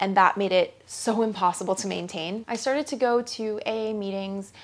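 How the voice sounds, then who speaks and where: A woman with an American accent. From US (New York/New Jersey), then Asia. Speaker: lifestyle YouTuber. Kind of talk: personal testimony to camera. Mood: reflective, candid. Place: home room.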